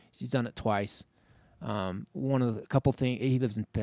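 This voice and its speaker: In an American accent, a man speaks at a moderate pace with ordinary pitch variation. He has an ordinary speaking voice, on a very clean recording with a silent background. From Utah (Logan). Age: 50s. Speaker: ultrarunner. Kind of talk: casual interview. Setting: outdoors in a park.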